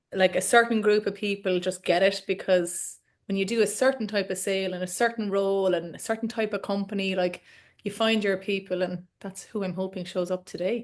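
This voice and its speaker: In an Irish accent, a woman speaks at a fairly quick pace and a medium pitch. Her delivery is a flat monotone over a quiet background. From Ireland. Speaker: coach. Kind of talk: webinar host chat. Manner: fast.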